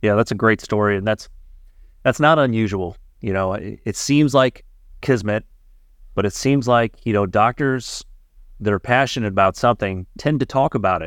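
A man in a General American accent speaks at medium pitch and a moderate pace with ordinary pitch variation and long, frequent pauses, captured with a dry, close sound with no echo on a very clean recording with a silent background. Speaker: radiologist podcast host. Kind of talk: casual interview.

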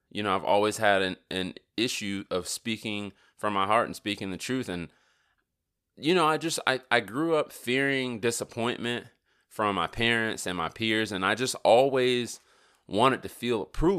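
Over a silent background in a very clean recording, the voice is animated, bright and sharp, moving at a moderate pace with ordinary pitch variation. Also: man, medium pitch for a man. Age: 30s. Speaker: podcast host. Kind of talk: casual monologue.

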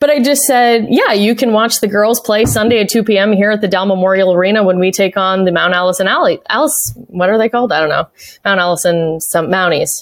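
With a slight Canadian accent, a woman speaks at a fairly quick pace, hardly pausing, in an animated tone. Her medium-pitched voice has ordinary pitch variation and very even loudness. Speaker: arena announcer and play-by-play broadcaster. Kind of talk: casual interview chat. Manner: animated, laughs often.

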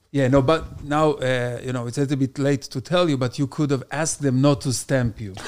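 A man with an Israeli accent at a medium pitch, fairly quick in pace, fairly even in intonation, on a very clean recording with a silent background. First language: Hebrew. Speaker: stand-up comedian. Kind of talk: casual chat.

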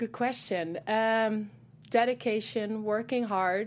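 On a very clean recording with a silent background, a woman with a Dutch accent talks at a medium pitch with fairly even intonation. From Netherlands. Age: 20s. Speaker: fashion model. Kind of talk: interview. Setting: studio.

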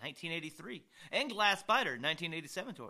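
This man uses a raised, projected voice. His tone is bright and sharp. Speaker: podcast co-host. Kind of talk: casual chat.

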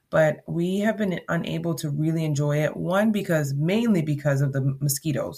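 A woman with a very deep, low voice, dark and mellow in tone and somewhat breathy, speaks with hardly any pauses. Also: ordinary pitch variation, moderate pace. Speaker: podcast host. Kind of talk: solo podcast monologue. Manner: conversational, filler-heavy.

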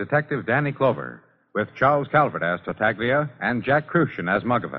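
Speaking at a medium pitch, a man lets his voice move in big pitch swings.

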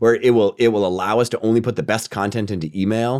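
Speaking at a fairly quick pace, a man uses an animated tone at a medium pitch. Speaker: marketing executive. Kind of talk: interview.

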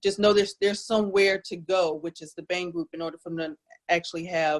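In a normal speaking voice, a woman with an American accent talks at a fairly quick pace and a fairly low pitch, with fairly even intonation and a dry, close sound with no echo. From South Jersey, US. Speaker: nurse practitioner. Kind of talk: interview.

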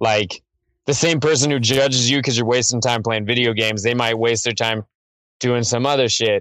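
A man's plain, everyday voice, medium in pitch, with fairly even intonation, very even loudness and a moderate pace. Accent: American. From Missouri, small town. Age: 30s. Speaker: rapper. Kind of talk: casual chat. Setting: phone call.

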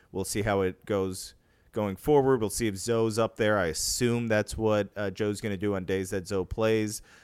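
A man with a fairly low pitch speaks in a normal speaking voice, recorded very cleanly against a silent background. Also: fairly even intonation, moderate pace. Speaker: baseball writer, co-host. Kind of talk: casual sports discussion.

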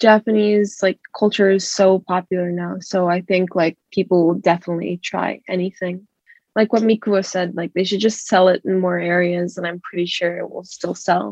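A woman speaks at a fairly slow pace in a medium pitch, her intonation monotone and flat. The sound is dry and close, with no echo. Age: young. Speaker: college student interviewee. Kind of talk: interview answers. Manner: casual.

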